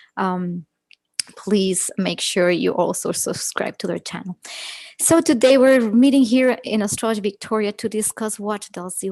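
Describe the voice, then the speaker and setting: A woman at medium pitch talks in an ordinary speaking voice with ordinary pitch variation. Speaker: astrologer. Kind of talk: live astrology presentation and guided meditation.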